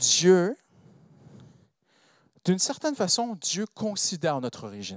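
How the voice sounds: A man's high voice with a non-native accent and a fairly bright tone, slow and with very wide pitch swings, in a dry, close sound with no echo. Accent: non-native French, foreign-accented.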